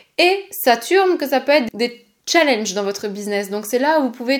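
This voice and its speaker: A woman talks in an animated tone with noticeable background noise around her. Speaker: podcast host and human design coach. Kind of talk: solo podcast monologue. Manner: fast.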